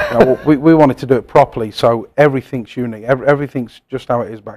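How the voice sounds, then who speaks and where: Talking at a very fast pace, a man keeps his medium pitch in fairly even intonation while his loudness swings widely. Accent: English. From England, Coventry. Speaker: pub owner and former chef. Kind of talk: casual interview.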